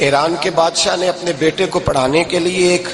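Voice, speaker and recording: Noticeable background noise sits under a man speaking at a high pitch. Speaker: Islamic preacher. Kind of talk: religious sermon.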